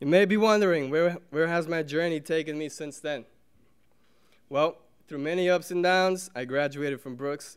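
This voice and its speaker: A man speaks in a Portuguese accent at a moderate pace, his pitch fairly high. Ordinary pitch variation comes with big swings in loudness. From Brazil, raised in Somerville, Massachusetts. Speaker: alumnus speaker, teacher. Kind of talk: prepared speech.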